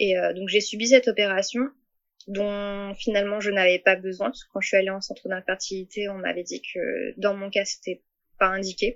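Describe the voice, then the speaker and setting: Speaking at a moderate pace and a medium pitch, a woman keeps a monotone, flat intonation while her loudness swings widely. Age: 30s. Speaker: patient sharing fertility story. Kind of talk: testimony. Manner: halting, many hesitations.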